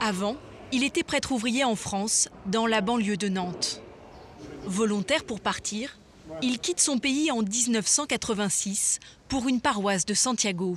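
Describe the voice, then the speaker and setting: The voice is somewhat breathy, with very even loudness and long, frequent pauses. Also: woman, fairly high pitch for a woman, ordinary pitch variation, fairly slow pace. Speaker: documentary narrator. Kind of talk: documentary narration.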